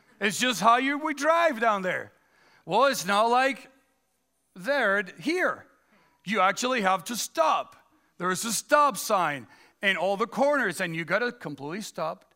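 In a very clean recording with a silent background, a man uses a raised, projected voice with high pitch, a bright, sharp tone, very wide pitch swings and long, frequent pauses. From Dominican Republic. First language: Spanish. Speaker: pastor. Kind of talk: sermon. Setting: church. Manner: halting, frequent fillers.

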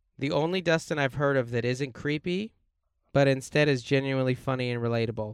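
A man's normal speaking voice at medium pitch, fairly quick in pace with ordinary pitch variation. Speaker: podcast host, stand-up comedian. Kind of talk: casual chat. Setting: in a minivan used as studio.

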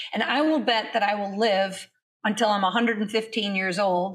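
A woman with a fairly high pitch speaks with vocal fry. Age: 50s. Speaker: fitness instructor. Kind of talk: interview.

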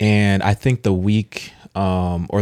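Fairly low in pitch, a man speaks in a plain, everyday voice with fairly even intonation on a very clean recording with a silent background. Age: young. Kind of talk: casual chat. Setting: studio.

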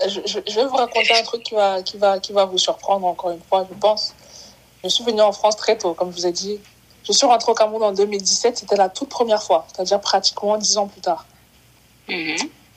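Delivered at a fairly quick pace with fairly even intonation, the speech has big swings in loudness and noticeable background noise. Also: woman, medium pitch for a woman. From Cameroon. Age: 20s. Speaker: footballer and insurance salesperson. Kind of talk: interview, personal testimony.

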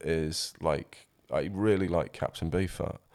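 A man speaks with a South Yorkshire accent. The recording is very clean, with a silent background. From South Yorkshire, England. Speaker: musician and former DJ. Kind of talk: casual interview chat.

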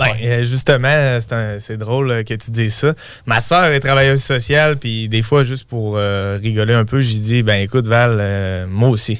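A man speaks with a plain, everyday voice at medium pitch. His pace is fairly slow and his intonation fairly even. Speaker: real estate investor. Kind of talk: interview.

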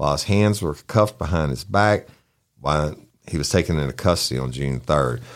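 A Southern US accent with lively intonation at a moderate pace, on a very clean recording with a silent background. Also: man, very deep, low pitch for a man. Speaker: true crime podcast host. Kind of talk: casual chat.

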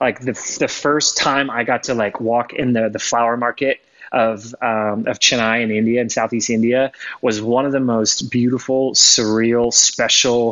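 This man's voice has a medium pitch and a moderate pace. The intonation stays monotone and flat. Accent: American. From Florida. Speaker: photographer. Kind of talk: casual chat.

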